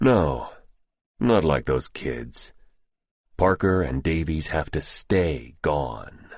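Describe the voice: In a put-on character voice, a man speaks extremely low for a man at a slow pace, with lively intonation and a slightly husky edge, on a very clean recording with a silent background.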